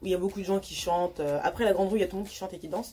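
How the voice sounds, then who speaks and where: A woman talks while background noise can clearly be heard. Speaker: youtuber. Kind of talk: storytime vlog. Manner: stutters often; hesitant, many fillers.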